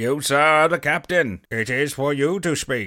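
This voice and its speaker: Using a put-on character voice, a man speaks with a fairly high pitch. His pace is moderate, and the recording is very clean with a silent background. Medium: audio drama. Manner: grand, emphatic.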